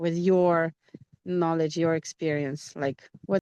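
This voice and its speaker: A woman with a normal speaking voice talks at a fairly slow pace in a fairly low pitch, recorded dry and close with no echo. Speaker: English teacher. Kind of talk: interview host questions.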